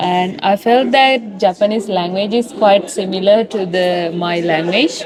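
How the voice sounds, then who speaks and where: Over noticeable background noise, a woman with a medium pitch and ordinary pitch variation talks at a fairly slow pace with hardly any pauses. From Sri Lanka. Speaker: university student. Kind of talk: street interview. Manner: hesitant, with fillers.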